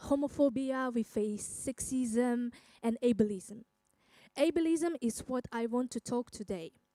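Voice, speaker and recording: A woman speaks at a fairly slow pace in a high pitch with ordinary pitch variation. Her dark, mellow tone sounds dry and close, with no echo. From Kazakhstan. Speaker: singer and educator. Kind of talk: personal talk on stage. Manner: halting, many fillers.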